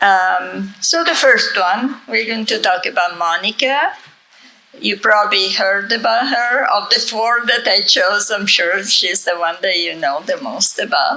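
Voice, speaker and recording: Noticeable background noise accompanies a woman whose fairly high voice carries lively intonation. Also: fairly slow pace. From Italy. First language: Italian. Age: 70s. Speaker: author and conference speaker. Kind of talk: conference talk.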